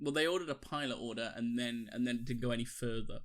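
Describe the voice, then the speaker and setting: A man speaks in a Welsh accent at a fairly quick pace. His pitch is medium, with ordinary pitch variation. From Wales. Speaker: podcast co-host. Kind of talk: casual chat.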